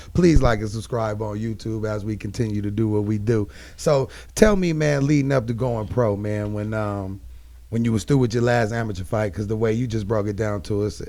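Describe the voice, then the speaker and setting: A man speaking at a fairly quick pace, with audible room echo. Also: fairly low pitch for a man, ordinary pitch variation. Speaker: podcast host. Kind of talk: casual chat. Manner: animated.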